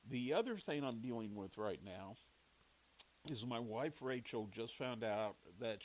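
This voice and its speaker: Pitch varies in an ordinary way as the words come out at a fairly slow pace. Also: man. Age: 60s. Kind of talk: personal monologue. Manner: casual, halting.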